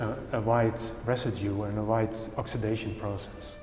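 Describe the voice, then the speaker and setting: A man with a Dutch accent, audible room echo, and music in the background. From Netherlands. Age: 60s. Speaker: painter. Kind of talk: interview. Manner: halting.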